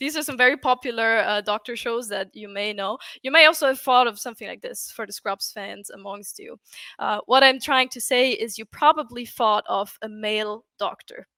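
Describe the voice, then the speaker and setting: In a German accent, a woman speaks with a high pitch and a bright, sharp tone, her pitch varying in an ordinary way. Her loudness swings widely, on a very clean recording with a silent background. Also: moderate pace, dry, close sound with no echo. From Austria. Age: 20s. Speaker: UX writer. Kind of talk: conference talk.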